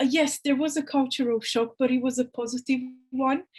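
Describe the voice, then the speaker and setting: A woman with a Romanian accent speaks at a moderate pace. Her intonation is monotone and flat, against a quiet background. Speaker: university employability officer. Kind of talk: interview. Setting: video call.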